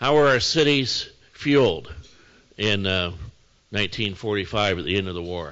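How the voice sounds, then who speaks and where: A man with a US Midwestern accent talks with lively intonation. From northern Indiana, US Midwest. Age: 60s. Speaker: mayor. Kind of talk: lecture. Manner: casual, conversational.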